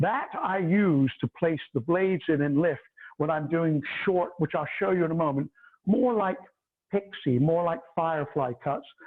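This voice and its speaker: A man speaks loudly at a moderate speed, his high pitch varying in an ordinary way. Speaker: hairdresser and educator. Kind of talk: tutorial. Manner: animated.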